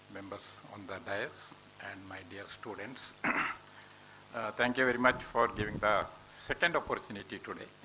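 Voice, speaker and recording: Speech comes at a fairly slow pace with fairly even intonation, big swings in loudness and long, frequent pauses, over noticeable background noise. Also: man. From India, Udupi, Karnataka. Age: 60s. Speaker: professor. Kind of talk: speech to students.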